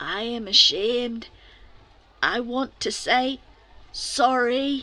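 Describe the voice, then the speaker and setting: In a put-on character voice, a woman speaks at a very slow pace with a high, raspy sound. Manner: ashamed, apologetic.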